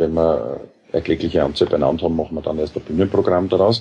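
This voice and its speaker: Monotone, flat intonation marks this man's speech. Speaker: musician and parodist. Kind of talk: interview.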